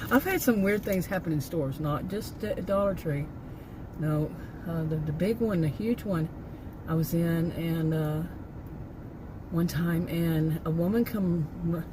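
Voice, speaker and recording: Over noticeable background noise, a woman speaks at a fairly slow pace in a fairly low voice, with ordinary pitch variation and long, frequent pauses. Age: 60s. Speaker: vlogger. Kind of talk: casual chat. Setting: in a car. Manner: halting, many fillers and restarts.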